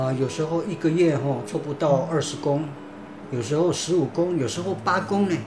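Ordinary pitch variation against noticeable background noise and audible room echo. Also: man. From Taiwan, Pingtung County. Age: 50s. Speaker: church member. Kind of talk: testimony. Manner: halting, many fillers.

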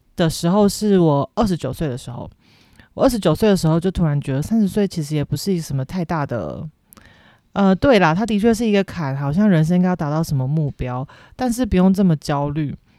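In a very clean recording with a silent background and a dry, close sound free of echo, a woman with a fairly low, dark, mellow voice talks at a fairly quick pace with lively intonation. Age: 30s. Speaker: podcast host. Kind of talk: casual monologue.

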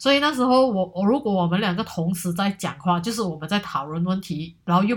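A somewhat breathy woman's voice at a fairly quick pace, with lively intonation, on a very clean recording with a silent background. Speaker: solo podcast host. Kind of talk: casual monologue. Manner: hesitant, many fillers.

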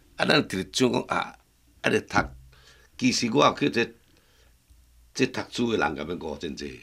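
A man's very deep, low voice with vocal fry and a bright, sharp tone, in a Taiwanese accent, fairly quick with very wide pitch swings and long, frequent pauses. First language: Taiwanese Hokkien (speaking Chinese). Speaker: master woodcarver. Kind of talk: casual interview chat in Hokkien.

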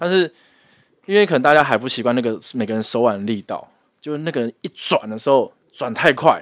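A man's unremarkable speaking voice, medium in pitch, at a fairly quick pace with lively intonation, in a dry, close sound with no echo. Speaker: podcast co-host. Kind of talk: casual chat.

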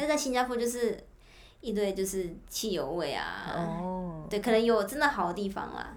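In a room with audible echo, a woman talks at a moderate pace and medium pitch with lively intonation. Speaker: former intern abroad. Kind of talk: casual chat.

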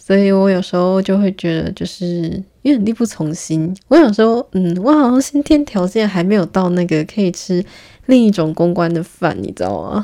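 At a moderate pace, a woman talks at a medium pitch with lively intonation and a dark, mellow tone. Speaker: podcast host, PR professional. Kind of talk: casual solo monologue. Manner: laughs often, filler-heavy.

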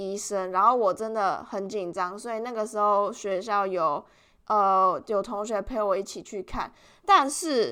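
In a very clean recording with a silent background, a woman with a Taiwanese accent speaks fairly slowly in a fairly high, bright and sharp tone with ordinary pitch variation. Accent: Taiwanese Mandarin. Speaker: podcast host, international student. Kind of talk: casual solo podcast monologue.

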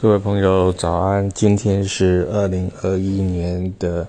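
A very deep, low male voice, monotone and flat in intonation, at a very slow pace. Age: 50s. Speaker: calligrapher and artist vlogger. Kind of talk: casual monologue. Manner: halting, many filler particles.

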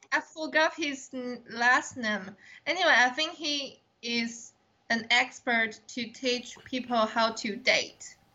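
The speaker is a woman with a high pitch and ordinary pitch variation. She talks at a very slow pace. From Taiwan. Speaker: podcast co-host. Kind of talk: casual chat. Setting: remote call.

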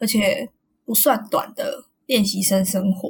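A woman's fairly high, somewhat breathy voice at a fairly slow pace. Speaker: podcast co-host. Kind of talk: casual chat.

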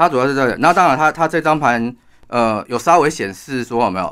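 This man has an unremarkable speaking voice at a medium pitch with lively intonation. His pace is fairly quick. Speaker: astrologer and author. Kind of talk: interview.

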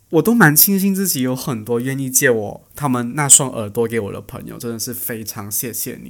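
In a very clean recording with a silent background, a man talks at a moderate pace and medium pitch, with lively intonation and big swings in loudness. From Malaysia. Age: 20s. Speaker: podcast host, student. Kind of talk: casual solo podcast talk. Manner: chatty, animated.

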